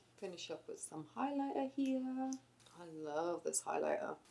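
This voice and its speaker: With an American accent, a woman speaks in a dark, mellow tone. Her pitch swings very widely. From England. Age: 20s. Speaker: beauty vlogger. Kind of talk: casual chat while doing makeup.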